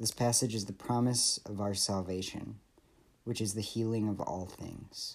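The recording is very clean with a silent background. A man speaks at a moderate pace with a fairly low pitch and monotone, flat intonation. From Michigan. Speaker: PhD student giving scripture reflection. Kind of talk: devotional reflection. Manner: earnest, measured.

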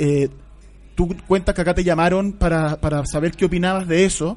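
A man with a high pitch and ordinary pitch variation, at a moderate pace. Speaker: radio host. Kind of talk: interview. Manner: halting.

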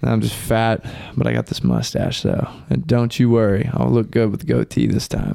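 Over noticeable background noise, a man speaks at a moderate pace, his fairly low pitch swinging very widely. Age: 20s. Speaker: podcast co-host. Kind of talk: casual chat.

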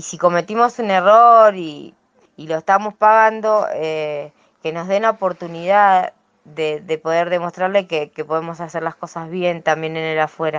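This woman's loudness rises and falls in big swings. Her pitch sits fairly low, with ordinary variation, and she talks at a fairly slow pace. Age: 30s. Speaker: prison inmate. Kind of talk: testimony. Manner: halting.

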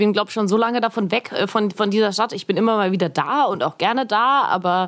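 Speaking very fast with hardly any pauses, a woman holds a medium pitch and ordinary pitch variation. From Augsburg, Bavarian Swabia. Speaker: podcaster and filmmaker. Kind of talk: casual chat.

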